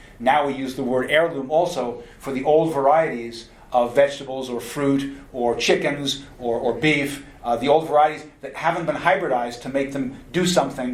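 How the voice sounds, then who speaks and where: A man with a fairly high pitch speaks at a moderate pace with hardly any pauses over noticeable background noise. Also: fairly even intonation. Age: 60s. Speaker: nutrition lecturer. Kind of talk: lecture.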